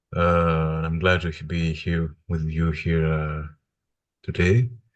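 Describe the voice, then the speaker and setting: Very slow and fairly even in intonation, a man speaks in a very deep, low voice. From Greece (Athens). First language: Greek. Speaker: religious studies PhD student. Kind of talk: interview conversation. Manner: halting, many hesitations.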